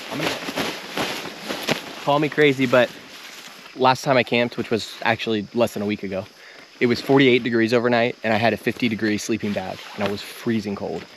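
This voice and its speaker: Amid noticeable background noise, a man at medium pitch speaks at a fairly quick pace with fairly even intonation and long, frequent pauses. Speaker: outdoor vlogger. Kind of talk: casual chat. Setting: outdoors. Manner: fast.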